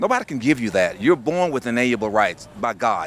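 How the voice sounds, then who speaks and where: Fairly quick pace, lively intonation, medium pitch, and an unremarkable speaking voice from a man. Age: 60s. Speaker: business and civic leader. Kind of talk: interview.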